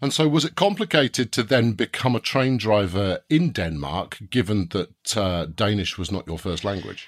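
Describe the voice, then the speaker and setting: A man with a British accent speaks at a moderate pace in a fairly low voice with very wide pitch swings. The recording is very clean, with a silent background and a dry, close sound with no echo. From Britain. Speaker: podcast host. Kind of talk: scripted presenting; interview.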